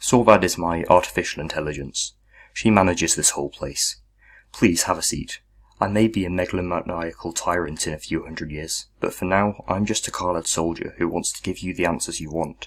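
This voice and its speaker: Putting on a character voice, a man speaks gravelly and very deep, low at a fairly quick pace, in a very clean recording with a silent background. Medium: read story. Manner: gruff, terse.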